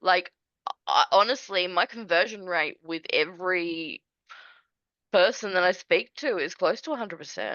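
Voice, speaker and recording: Speaking at a moderate pace in an Australian accent, a woman uses a medium pitch with ordinary pitch variation. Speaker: small business owner, admin services. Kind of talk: casual interview chat.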